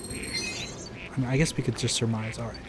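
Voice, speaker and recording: A man speaks at a moderate pace in a relaxed tone with fairly even intonation. Audible room echo and noticeable background noise surround his voice. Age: 30s. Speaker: gaming YouTuber and reviewer. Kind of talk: casual let's-play commentary. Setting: voiceover recorded after gameplay. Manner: soft-spoken ASMR delivery; relaxed, rambling with fillers.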